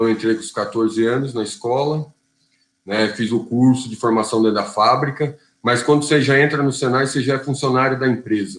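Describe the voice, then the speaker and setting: An unremarkable speaking voice moves along at a fairly quick pace. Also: man, medium pitch for a man. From Brazil, São Bernardo do Campo (São Paulo ABC region). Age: 40s. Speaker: union leader and auto assembly worker. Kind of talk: interview.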